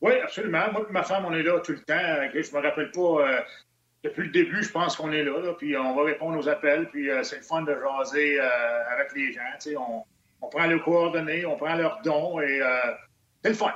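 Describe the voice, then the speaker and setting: A man with an ordinary speaking voice talks at a moderate pace, his pitch fairly high for a man with ordinary pitch variation. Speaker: hockey analyst. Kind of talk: casual chat.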